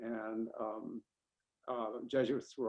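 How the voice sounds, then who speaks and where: A man talks in a medium pitch with monotone, flat intonation. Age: 80s+. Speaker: somatics scholar and former bodywork practitioner. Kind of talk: interview conversation. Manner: halting, many fillers.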